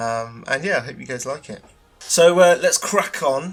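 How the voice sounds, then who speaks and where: Music plays in the background. A man with a British accent speaks at a moderate pace. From UK. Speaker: concept artist, podcast host. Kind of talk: casual solo podcast. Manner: many filler words, hesitant. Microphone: cheap tinny mic.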